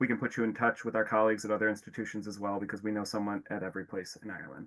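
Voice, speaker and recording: A man's fairly low voice, very fast, in a monotone with flat intonation, over a quiet background. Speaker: university admissions representative. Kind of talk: webinar presentation.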